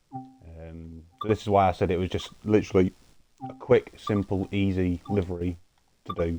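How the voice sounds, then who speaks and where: In a British accent, a man talks with a very deep, low pitch and fairly even intonation. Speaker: gaming livestreamer. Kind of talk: live gameplay tutorial. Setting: live stream. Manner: fast.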